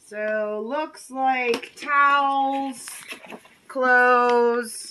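The speaker is female. Her voice sits high. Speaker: storage unit reseller. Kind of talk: casual vlog chat. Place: street. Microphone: phone near.

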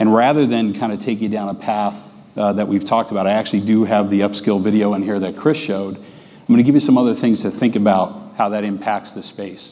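Talking at a fairly quick pace with hardly any pauses, a man has a dark, mellow tone, a fairly low pitch and fairly even intonation. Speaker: presenter. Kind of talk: conference talk. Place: stage. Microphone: lapel.

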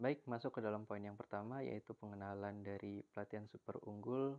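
A man with a normal speaking voice talks at a fairly quick pace in a fairly low pitch. His intonation is fairly even, and the sound is dry and close with no echo. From Indonesia, Serang, Banten. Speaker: university student. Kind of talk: class presentation. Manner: formal.

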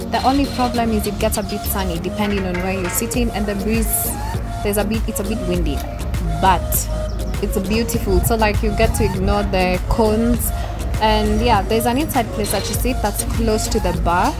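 The speech moves at a moderate pace. Clear music plays in the background. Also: woman. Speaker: vlogger reviewing a restaurant. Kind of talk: casual vlog chat. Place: cafe.

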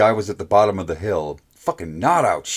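A natural voice reads aloud. Its pitch varies in an ordinary way.

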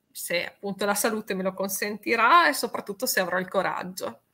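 Bright and sharp in tone, the voice rises and falls in an ordinary way. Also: woman. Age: 50s. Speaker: radio DJ. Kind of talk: casual chat. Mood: cheerful, joking. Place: home room.

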